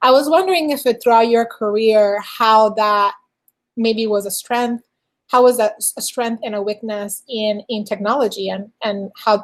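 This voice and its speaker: A woman's fairly high voice with a non-native accent and fairly even intonation, on a very clean recording with a silent background. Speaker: podcast host; engineering director. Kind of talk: interview.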